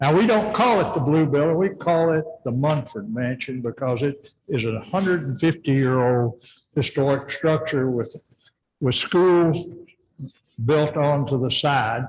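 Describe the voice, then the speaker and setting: A man speaks at a fairly slow pace with a Tennessee accent. His voice is somewhat breathy. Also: ordinary pitch variation. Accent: US Southern, Tennessee. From Tennessee, McMinnville. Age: 80s+. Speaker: retired orthodontist, preservation group presenter. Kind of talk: public presentation.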